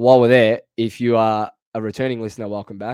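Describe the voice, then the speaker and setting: Speaking in an Australian accent, a man talks at a fairly quick pace with medium pitch and ordinary pitch variation. The sound is dry and close with no echo, over a quiet background. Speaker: AFL fan podcast host. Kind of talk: casual sports chat. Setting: video call over VPN connection.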